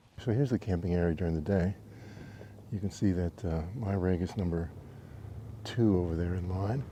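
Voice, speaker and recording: A man speaks with a very deep, low pitch and a dark, mellow tone. He leaves long, frequent pauses. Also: ordinary pitch variation. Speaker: travel vlogger. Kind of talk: casual vlog narration. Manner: soft-spoken.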